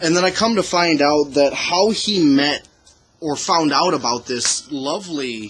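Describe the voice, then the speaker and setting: A man talks fairly slowly with lively intonation while music plays in the background. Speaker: podcast co-host. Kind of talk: casual chat. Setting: outdoors. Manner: rambling, halting.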